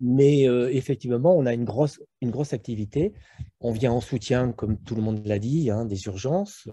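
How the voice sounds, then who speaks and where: The man's dark, mellow tone shows ordinary pitch variation, and the background stays quiet. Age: 60s. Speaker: internal medicine professor. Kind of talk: webinar panel discussion. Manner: hesitant, many fillers.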